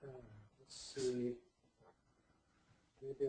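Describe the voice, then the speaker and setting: A man speaks at a moderate pace with a medium pitch and a dark, mellow tone. He is soft-spoken and somewhat breathy. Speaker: psychotherapist. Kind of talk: lecture. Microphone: sounds far away.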